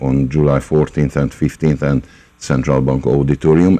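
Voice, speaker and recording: A man with a very deep, low pitch speaks in a flat monotone over noticeable background noise. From Hungary. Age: 60s. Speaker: concert pianist and music teacher. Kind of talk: radio interview. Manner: halting, many fillers.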